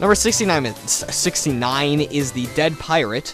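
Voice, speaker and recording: Music plays in the background as a man talks at a moderate pace. His pitch variation is ordinary. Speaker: let's play gamer. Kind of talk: video game commentary. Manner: casual, hesitant.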